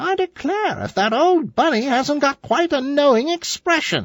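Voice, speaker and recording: A put-on character voice sits high in pitch. It moves at a moderate speed. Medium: read story. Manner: grumbling, matter-of-fact.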